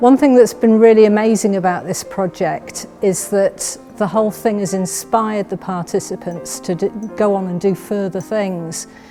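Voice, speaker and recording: Over music in the background, a woman talks at a moderate pace with hardly any pauses. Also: medium pitch for a woman, ordinary pitch variation. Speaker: library staff. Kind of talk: casual talk to camera. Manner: hesitant, with fillers.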